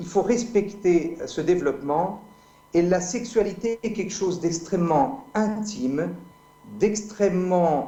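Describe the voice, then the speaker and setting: A man speaks very slowly at a high pitch with ordinary pitch variation. The recording has audible room echo and noticeable background noise. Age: 50s. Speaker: medical doctor and speaker. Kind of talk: debate.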